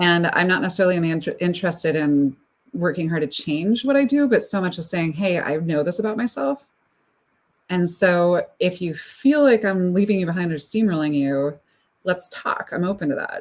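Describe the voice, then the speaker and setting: A woman at a fairly low pitch with lively intonation, on a very clean recording with a silent background. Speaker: speaker coach and consultant. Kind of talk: live-streamed panel conversation. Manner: fast.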